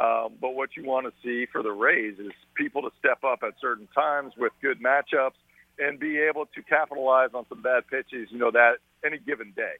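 A plain, everyday voice from a man at medium pitch, fairly even intonation, big swings in loudness and a fairly quick pace. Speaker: baseball analyst. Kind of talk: sports analysis.

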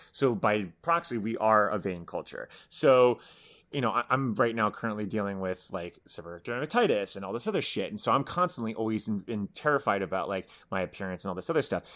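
In a very clean recording with a silent background, a man with an unremarkable speaking voice talks at a fairly low pitch and a fairly quick pace, his intonation lively. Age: 30s. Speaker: entertainment website editor and podcast co-host. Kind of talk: casual chat.

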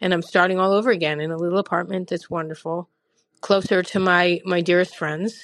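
Woman's voice at a medium pitch, moderate pace, monotone and flat in intonation. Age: 50s. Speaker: listener leaving a voicemail. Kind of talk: voicemail testimony.

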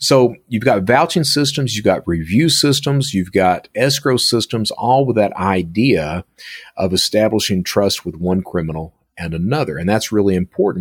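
A man with an Appalachian accent and lively intonation, at a moderate pace, on a very clean recording with a silent background. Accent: Appalachian US Southern. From Eastern Kentucky (Hazard). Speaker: cybersecurity consultant and former cybercriminal. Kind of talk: interview conversation.

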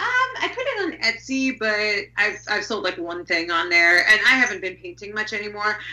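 Against noticeable background noise, a woman with fairly high pitch talks at a moderate pace with lively intonation and hardly any pauses. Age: 30s. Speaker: horror and transgressive fiction author. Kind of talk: casual interview chat.

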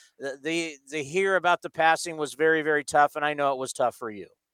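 A man's plain, everyday voice, fairly high in pitch, with fairly even intonation at a moderate pace, dry and close with no echo, on a very clean recording with a silent background. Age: 40s. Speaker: sports radio host. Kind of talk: casual chat.

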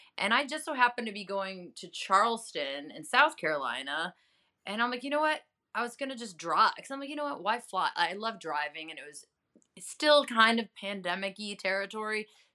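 A woman's fairly high, bright and sharp voice with an animated tone, a fairly quick pace, very wide pitch swings and big swings in loudness. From Chicago area, US Midwest. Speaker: journalist and health advocate. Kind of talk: casual interview chat. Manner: animated, laughs often.

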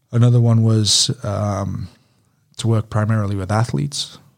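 Speaking in a British accent, a man has a fairly low pitch and a somewhat breathy voice. His intonation is fairly even, and the recording is very clean with a silent background. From UK. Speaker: strength and conditioning coach. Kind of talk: casual interview.

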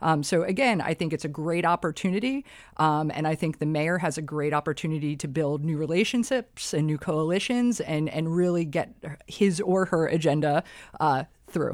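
A woman's very deep, low-pitched voice on a very clean recording with a silent background. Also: ordinary pitch variation, moderate pace. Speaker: election lawyer and political blogger. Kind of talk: interview.

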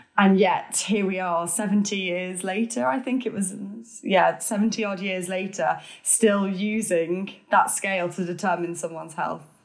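This is a woman with an unremarkable speaking voice. Her pitch is medium, with ordinary variation. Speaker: author and podcaster. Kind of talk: casual interview chat.

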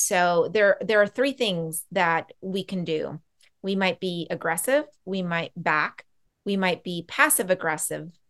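Over a quiet background, a woman speaks at a medium pitch. She has a plain, everyday voice. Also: ordinary pitch variation, fairly slow pace. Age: 40s. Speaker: boundaries coach and Reiki practitioner. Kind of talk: casual interview.

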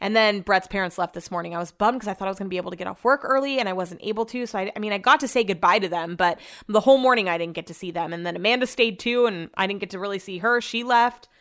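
In an American accent, a woman talks very fast with hardly any pauses, using an animated tone, medium pitch and ordinary pitch variation. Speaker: podcast host. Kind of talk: casual diary-style monologue. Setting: home office. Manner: fast talker.

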